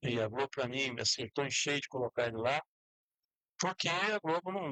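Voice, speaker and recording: A man with an unremarkable speaking voice at a medium pitch and a fairly quick pace. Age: 60s. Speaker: sports talk show host. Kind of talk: casual sports talk.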